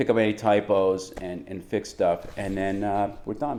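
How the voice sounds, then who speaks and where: This man talks fairly slowly with a Boston accent. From Boston, Massachusetts. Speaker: travel writer reading his manuscript. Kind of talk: casual chat; reading aloud from own manuscript.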